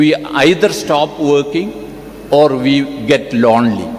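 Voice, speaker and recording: With noticeable background noise behind him, a man speaks with lively intonation. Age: 70s. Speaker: doctor, convocation speaker. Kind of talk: convocation address.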